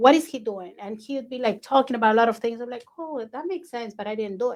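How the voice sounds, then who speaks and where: A woman with a non-native accent and a fairly high voice speaks very fast, with ordinary pitch variation and big swings in loudness. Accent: foreign accent in English. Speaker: podcast host, real estate agent. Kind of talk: casual interview chat.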